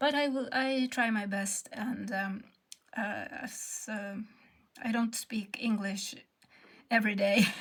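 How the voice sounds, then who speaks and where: A woman speaks at a very slow pace with a fairly high pitch, fairly even intonation, and long, frequent pauses. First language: Swedish. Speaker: textile artist. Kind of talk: tutorial. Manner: halting.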